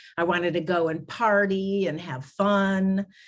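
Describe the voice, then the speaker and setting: Fairly even intonation in a normal speaking voice. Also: woman. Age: 60s. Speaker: grief recovery specialist. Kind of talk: interview conversation. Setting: podcast.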